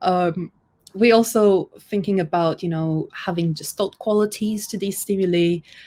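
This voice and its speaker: Dark, mellow female voice at medium pitch and moderate pace, fairly even in intonation, on a very clean recording with a silent background. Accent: non-native. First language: not English. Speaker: UX designer. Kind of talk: conference talk. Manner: hesitant, with fillers and self-corrections.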